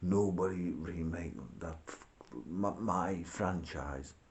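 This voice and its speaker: Audible room echo carries a man's very deep, low voice with ordinary pitch variation. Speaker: video blogger. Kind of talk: casual rant. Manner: rambling, informal.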